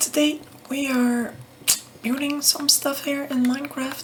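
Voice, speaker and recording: Soft-spoken and calm in tone, a woman talks over noticeable background noise. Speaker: ASMR creator. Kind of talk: ASMR soft-spoken gaming ramble. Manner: soft-spoken, calm.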